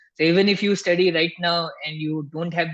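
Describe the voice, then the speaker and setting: A man with an Indian accent, high-pitched and fairly quick, in a monotone, flat intonation. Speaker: tax instructor. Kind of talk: live webinar Q&A. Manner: soft-spoken.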